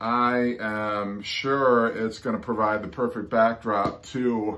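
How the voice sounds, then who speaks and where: A man speaks at a very slow pace in a bright, sharp tone. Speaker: record collector vlogger. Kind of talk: casual vlog chat. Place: home room. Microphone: phone near.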